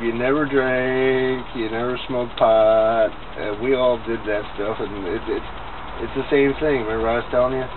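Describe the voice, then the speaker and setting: There is noticeable background noise. Through it, a man talks at a medium pitch. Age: 40s. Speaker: grandchild interviewing grandmother. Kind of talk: casual family conversation.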